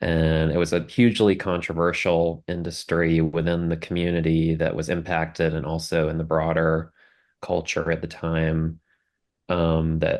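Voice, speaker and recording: With a Southern US accent and a very deep, low pitch, a man speaks fairly slowly in a monotone, flat intonation against a quiet background. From US South, South Carolina. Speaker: documentary film producer. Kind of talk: interview.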